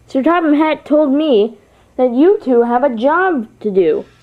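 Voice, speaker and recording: The delivery is a put-on character voice, kept to a fairly slow pace. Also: woman, high pitch for a woman. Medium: read story.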